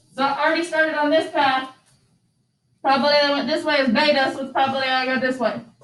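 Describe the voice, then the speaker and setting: In a room with audible echo, a woman talks at a very fast pace in a high pitch, her intonation monotone and flat. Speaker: statistics teacher. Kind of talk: classroom lecture.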